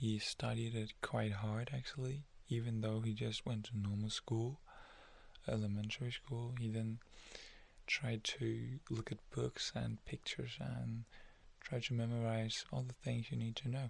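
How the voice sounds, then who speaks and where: Soft-spoken and calm in tone, a man speaks at a fairly slow pace with a medium pitch. His voice is somewhat breathy, with fairly even intonation and very even loudness. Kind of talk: ASMR soft-spoken story narration. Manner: soft-spoken, calm.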